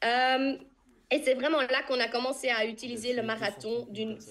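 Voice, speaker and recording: A woman speaks with a slight Flemish accent. Her pitch is fairly high and her pace moderate. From Flanders, Belgium. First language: Dutch (Flemish) (speaking French). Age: 20s. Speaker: nutrition business distributor. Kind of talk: testimony on video call. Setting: video call. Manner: occasionally searching for words.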